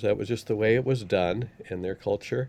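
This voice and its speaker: The voice belongs to a man with an American accent. It has a dark, mellow tone. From Utah, Salt Lake City. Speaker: scholar and church missionary. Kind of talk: casual chat. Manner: halting.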